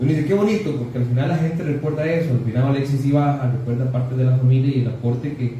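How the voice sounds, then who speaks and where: The speech comes at a very fast pace with ordinary pitch variation. Audible room echo and noticeable background noise are present. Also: man. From Costa Rica, Grecia (Alajuela). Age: 30s. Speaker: political candidate. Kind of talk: political interview.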